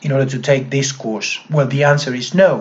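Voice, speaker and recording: In a Spanish accent, the speaker talks while noticeable background noise plays behind. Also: man. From Argentina, Mendoza. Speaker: English teacher. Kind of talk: testimonial talk to camera. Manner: hesitant, many fillers.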